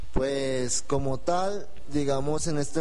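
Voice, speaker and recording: A man's fairly high pitch and fairly even intonation over noticeable background noise. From Colombia, Espinal, Tolima. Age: 20s. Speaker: novelist. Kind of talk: radio interview.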